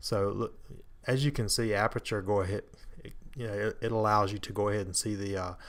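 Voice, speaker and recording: A soft-spoken man talks at a fairly quick pace and a fairly low pitch, with fairly even intonation. The recording is very clean, with a silent background. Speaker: amateur photographer. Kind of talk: tutorial. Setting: home, others asleep. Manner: hesitant, many fillers.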